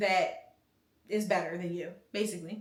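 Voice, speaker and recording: In an American accent, a woman talks at a moderate pace with an animated tone, with audible room echo around her. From US, Philadelphia. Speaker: youtuber giving life advice. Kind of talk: casual advice Q&A.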